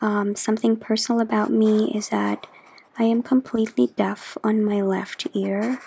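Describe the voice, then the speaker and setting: A soft-spoken voice moves at a fairly slow pace. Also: woman. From Philippines. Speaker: journaling YouTuber. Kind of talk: chatty ASMR craft tutorial.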